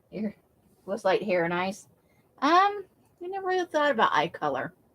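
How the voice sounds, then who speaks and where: A woman with an American accent speaks at a fairly high pitch with very wide pitch swings. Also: moderate pace. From United States, military family. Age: 50s. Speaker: craft livestreamer. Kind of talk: casual chat. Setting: livestream.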